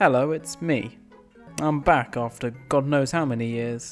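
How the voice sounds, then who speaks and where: A man with ordinary pitch variation, music in the background. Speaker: YouTuber, custom LEGO minifigure designer. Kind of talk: casual narrated video commentary.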